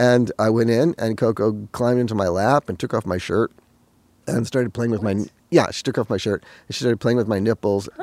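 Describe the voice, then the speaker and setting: This man has an ordinary speaking voice, pitched in the medium range, with ordinary variation in pitch. The sound is dry and close, with no echo. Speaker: interviewee, former gorilla researcher helper. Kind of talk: interview recollection.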